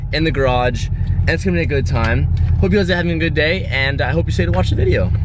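Against noticeable background noise, a man talks at a very fast pace in a dry sound with no echo. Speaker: car vlogger. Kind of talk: casual vlog chat. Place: car. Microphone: phone near.

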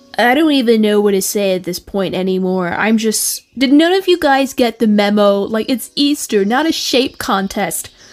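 Putting on a whiny character voice, a woman speaks at a moderate pace in a fairly high pitch with lively intonation. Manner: exasperated, whiny.

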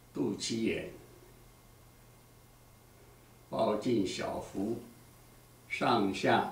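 In a room with audible echo, a man speaks very slowly, with long, frequent pauses and big swings in loudness. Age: 80s+. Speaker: exercise instructor; exercise teacher. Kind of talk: tutorial. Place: empty room. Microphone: camera far.

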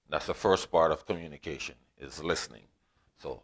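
A man with a very deep, low pitch. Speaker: teacher. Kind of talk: lecture. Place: home room. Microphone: lapel.

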